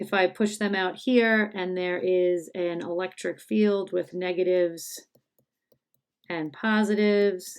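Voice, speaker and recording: A woman speaks at a fairly slow pace with fairly even intonation in a plain, everyday voice. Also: medium pitch for a woman. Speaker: high school chemistry teacher. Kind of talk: tutorial.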